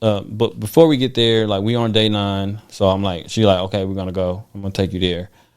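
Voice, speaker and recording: This man has a normal speaking voice and an American accent, speaking at a fairly low pitch and a moderate pace with hardly any pauses, in a very clean recording with a silent background. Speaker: guest telling medical recovery story. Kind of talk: casual podcast chat, personal testimony.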